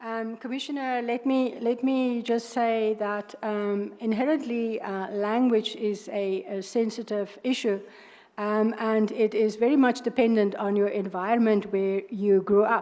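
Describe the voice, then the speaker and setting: A woman with a South African accent talks at a fairly slow pace and a fairly high pitch, her tone dark and mellow, her intonation fairly even. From South Africa, Northern Cape. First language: Afrikaans. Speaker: judge, candidate for judicial post. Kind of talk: job interview. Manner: hesitant, many fillers.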